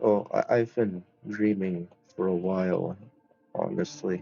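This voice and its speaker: Over music in the background, a man speaks very slowly at a fairly low pitch. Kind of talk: casual talk to camera.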